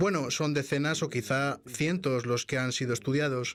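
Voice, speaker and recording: An ordinary speaking voice from a man, medium pitch, moderate pace, ordinary pitch variation, very clean recording with silent background. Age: 60s. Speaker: vaccine scientist. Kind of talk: interview. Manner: formal.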